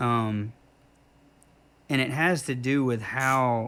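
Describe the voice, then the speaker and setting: A man with an American accent talks at medium pitch with ordinary pitch variation. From US South, South Carolina. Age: 50s. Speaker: tattoo artist and musician. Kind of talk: casual interview chat. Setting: tattoo shop.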